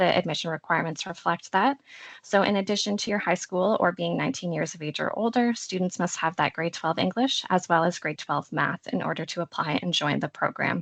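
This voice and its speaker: A woman talks at a fairly quick pace with hardly any pauses, medium pitch, ordinary pitch variation and vocal fry, in a dry, close sound with no echo. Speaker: college support services officer. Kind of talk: online information session presentation. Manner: fast.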